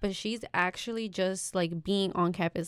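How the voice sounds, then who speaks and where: A woman talks in a plain, everyday voice at a medium pitch. Her pace is moderate and her intonation fairly even. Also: dry, close sound with no echo. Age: 20s. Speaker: student council director. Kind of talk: casual chat.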